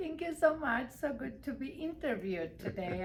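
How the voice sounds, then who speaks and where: A woman talks at a moderate pace with very wide pitch swings. Noticeable background noise runs underneath. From Armenia. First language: Armenian. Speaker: real estate broker. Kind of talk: interview.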